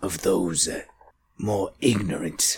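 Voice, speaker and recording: In a put-on character voice, a man talks in a whisper. He keeps a fairly slow pace. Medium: actual play. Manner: formal, elevated diction.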